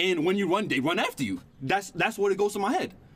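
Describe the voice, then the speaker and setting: The delivery is animated in tone and moves at a very fast pace. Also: man. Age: 20s. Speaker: streamer. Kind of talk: casual chat. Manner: halting.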